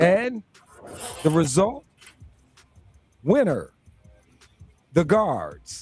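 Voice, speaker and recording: Music plays behind a man with a high voice whose pitch swings very widely. He talks at a very slow pace with long, frequent pauses. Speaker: sports talk radio host. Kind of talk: sports talk radio banter.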